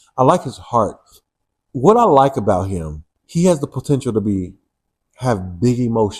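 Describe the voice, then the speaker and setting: A somewhat breathy man's voice at medium pitch and a fairly slow pace. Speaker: first-time audiobook narrator. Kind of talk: interview answer. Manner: casual, playful.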